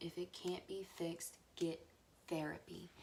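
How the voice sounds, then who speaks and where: Quiet and fairly low in pitch, a woman speaks with monotone, flat intonation. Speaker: true-crime vlogger. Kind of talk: casual vlog monologue. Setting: at home. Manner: hesitant with fillers.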